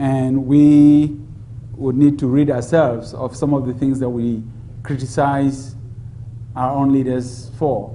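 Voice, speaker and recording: A man's dark, mellow, somewhat breathy voice, very slow with long, frequent pauses and flat monotone intonation, in audible room echo. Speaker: democracy expert. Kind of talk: public Q&A dialogue. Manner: soft-spoken.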